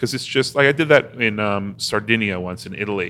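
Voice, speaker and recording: A man speaks in an ordinary speaking voice with lively intonation. The pace is moderate. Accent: American. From US Northeast (Newton, Massachusetts). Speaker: travel writer. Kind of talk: casual interview.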